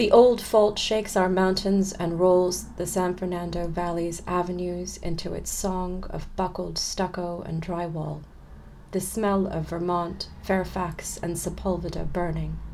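A woman speaks at a fairly slow pace with an American accent. Room echo is audible. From California, US. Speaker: poet and literature professor. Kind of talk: interview conversation; poetry reading. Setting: remote recording.

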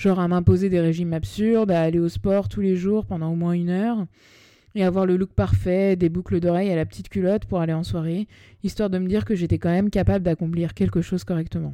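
Very fast and with ordinary pitch variation, a woman speaks in a fairly low, dark, mellow voice on a very clean recording with a silent background. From Paris, France. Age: 30s. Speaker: podcast host and spiritual coach. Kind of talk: personal storytelling monologue. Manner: casual, slangy. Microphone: new microphone.

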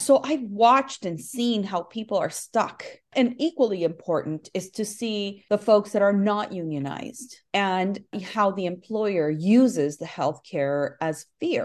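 Medium-pitched woman with an American accent, a normal speaking voice with lively intonation at a fairly slow pace, against a quiet background. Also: hardly any pauses. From Nicaragua, then Southern California. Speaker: union leader. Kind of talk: interview.

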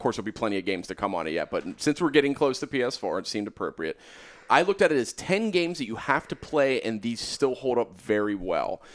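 A man talks at a very fast pace with a medium pitch, very wide pitch swings, and vocal fry. The recording is very clean, with a silent background. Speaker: podcast host. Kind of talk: casual banter podcast.

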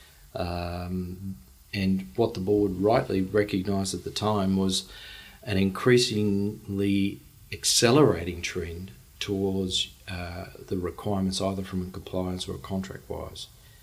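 A man with an Australian accent at a fairly low pitch, fairly even intonation and a fairly slow pace. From Australia, Brisbane. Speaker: charity CEO. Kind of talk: interview.

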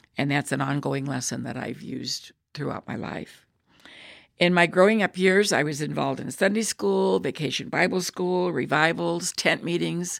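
A woman's very deep, low voice with vocal fry, very wide pitch swings, and a moderate pace. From US Midwest, Illinois. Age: 80s+. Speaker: retired teacher, church member. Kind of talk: personal faith testimony.

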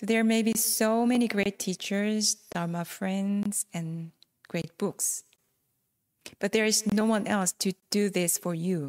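Spoken with a non-native accent at a very slow pace and fairly even intonation, the voice comes across dry and close with no echo on a very clean recording with a silent background. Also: woman, medium pitch for a woman. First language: not English. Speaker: Buddhist dharma talk speaker. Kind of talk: dharma talk.

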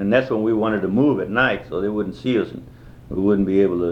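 Room echo is audible as a man speaks at a fairly low pitch. His pitch variation is ordinary. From Texas (Lockhart), Mexican-American. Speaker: war veteran. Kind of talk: oral history interview. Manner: halting, many fillers.

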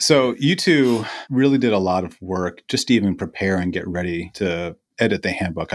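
A plain, everyday voice with ordinary pitch variation, over a very clean recording and silent background. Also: man. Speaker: podcast host, educational psychologist. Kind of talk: academic interview.

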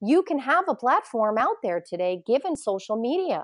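Over a quiet background, a high-pitched woman speaks at a moderate pace in an American accent. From US Northeast, Poughkeepsie, New York. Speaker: independent journalist and journalism educator. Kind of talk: interview conversation.

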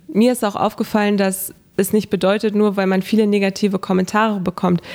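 Her delivery is flat and monotone. The woman talks fairly quickly at a medium pitch. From northern Germany, Hannover. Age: 20s. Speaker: social media blogger and local politician. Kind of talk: interview. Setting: studio.

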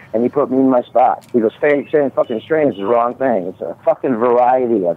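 Against noticeable background noise, a man talks fairly quickly at a medium pitch with ordinary pitch variation. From US Midwest (Omaha area). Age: 50s. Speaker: caller, cannabis grower. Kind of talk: casual chat.

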